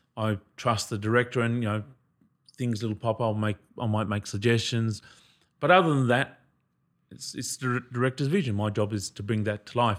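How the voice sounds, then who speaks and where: Someone with an Australian accent speaks at a fairly quick pace, pausing long and often, with ordinary pitch variation. The recording is very clean, and the background is silent. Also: man, medium pitch for a man. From Australia, Noongar country, southwest Western Australia. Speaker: actor. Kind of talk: casual chat.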